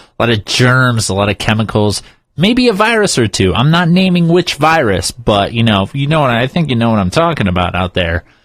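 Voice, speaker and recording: The speaker sounds upbeat, moving at a fairly quick pace with very wide pitch swings. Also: man. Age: 30s. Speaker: country radio DJ. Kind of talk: radio DJ break. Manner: upbeat, jokey, conversational.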